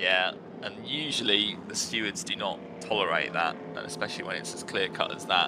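Fairly quick, lively speech with noticeable background noise behind it. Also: man, fairly low pitch for a man. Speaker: race commentator. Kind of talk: live race commentary. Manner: quick, reactive co-commentary, analysing positions.

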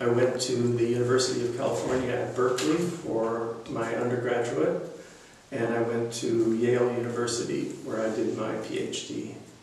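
With light background noise and strong room echo, a man with an American accent speaks at a moderate pace, medium in pitch with fairly even intonation. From US West Coast, Los Angeles. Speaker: retired economics professor. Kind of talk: oral history interview. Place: classroom. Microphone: camera far.

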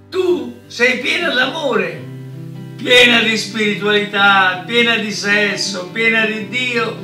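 A man projects a raised voice at a very slow pace amid audible room echo, with faint music in the background. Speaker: reader of a love text. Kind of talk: reading aloud a declaration of love. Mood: tender, emphatic declamation. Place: home room.

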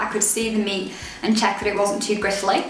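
A woman talks at a very fast pace. Room echo is audible, along with light background noise. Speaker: dietitian and blogger. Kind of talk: casual talk to camera. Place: home room. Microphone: camera far.

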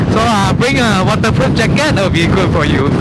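Against loud background noise, a man talks at a moderate pace in a dry sound with no echo. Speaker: travel vlogger. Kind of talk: casual vlog commentary. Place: boat. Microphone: phone near.

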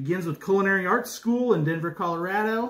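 The speaker is a man. His pace is moderate. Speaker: food reviewer. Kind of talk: casual vlog chat. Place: home room. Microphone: phone near.

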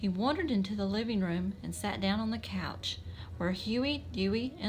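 What we hear is plain reading aloud.

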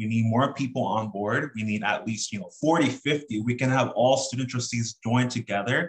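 A man speaks with an American accent in a somewhat breathy voice. The background is quiet. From Southern California. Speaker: student government president. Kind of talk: presentation. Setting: video call. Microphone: webcam.

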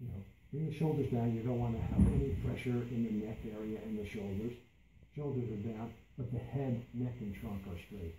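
Against noticeable background noise, a man speaks at a moderate pace and medium pitch with ordinary pitch variation. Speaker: meditation instructor. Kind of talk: guided meditation. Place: meeting room. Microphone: camera far.

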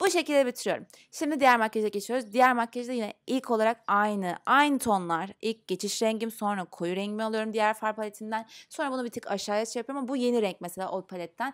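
A woman's fairly high, ordinarily varied voice at a very fast pace with hardly any pauses, over a quiet background. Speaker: beauty vlogger. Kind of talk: makeup tutorial. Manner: casual, chatty.

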